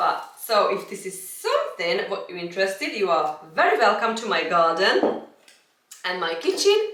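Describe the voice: With strong room echo, a woman speaks at a moderate pace in a medium pitch, her fairly bright tone moving through big pitch swings.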